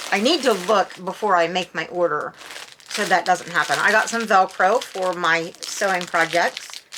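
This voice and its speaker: A woman talks at a moderate pace with a medium pitch and ordinary pitch variation, with noticeable background noise around her. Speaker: unboxing and review channel host. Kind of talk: casual product unboxing and review. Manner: halting, with frequent fillers and restarts; chatty, self-described babbling.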